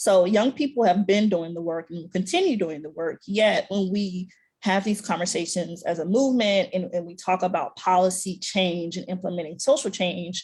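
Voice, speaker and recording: Somewhat breathy and medium-pitched, a woman talks with hardly any pauses. Her pitch varies in an ordinary way while her loudness swings widely. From US South, Alabama. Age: young. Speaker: policy advocate. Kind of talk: panel discussion. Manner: fast.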